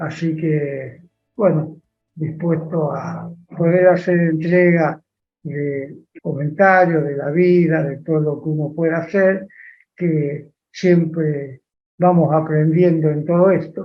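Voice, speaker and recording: A man talks at a very slow pace in a flat monotone, with a Rioplatense accent. His pitch is fairly high, and audible room echo surrounds the voice. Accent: Argentine Rioplatense Spanish. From Argentina, Las Parejas (Santa Fe). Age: 80s+. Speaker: interviewee, elderly industrialist. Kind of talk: interview.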